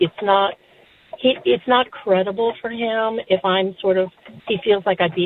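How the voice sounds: Her pitch moves very little. The woman keeps a moderate pace.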